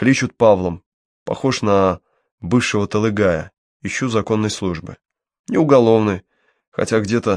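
Against a quiet backdrop, the text is read aloud in a natural voice whose pitch shifts in an ordinary way.

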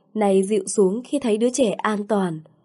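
An unforced reading voice

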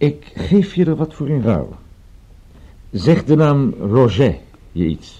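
A man does a put-on character voice with a dark, mellow tone and a slightly husky edge at medium pitch. He speaks at a slow pace with big pitch swings.

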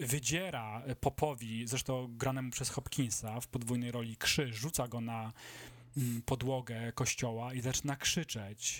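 A man speaks at a fairly slow pace with fairly even intonation, his pitch medium. It is an ordinary speaking voice on a very clean recording with a silent background. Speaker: film podcast host. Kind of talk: casual chat.

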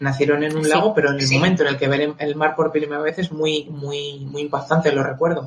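A man's fairly high voice in a monotone, flat intonation, at a fairly quick pace with hardly any pauses. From northern Spain. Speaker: Tolkien enthusiast speaker. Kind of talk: casual discussion.

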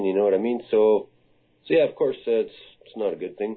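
A man speaks in a Canadian accent. His medium-pitched voice has lively intonation. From Canada. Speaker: mixed martial arts fighter. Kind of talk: interview. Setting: video call. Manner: halting.

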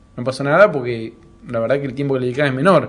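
A man's fairly high voice at a very fast pace, in a Rioplatense accent. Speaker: comedy podcast host. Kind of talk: casual interview.

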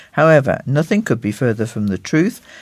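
Very wide pitch swings mark a man's speech with a British accent, in a very clean recording with a silent background. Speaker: magazine co-host and reader. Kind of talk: magazine presenting and reading aloud.

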